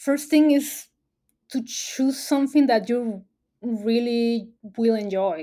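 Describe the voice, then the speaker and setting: Speaking at a very slow pace with a Spanish accent, a woman has a dark, mellow tone and ordinary pitch variation in a very clean recording with a silent background. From Mexico, Baja California Sur. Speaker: environmental communications specialist. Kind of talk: interview. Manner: hesitant, many fillers.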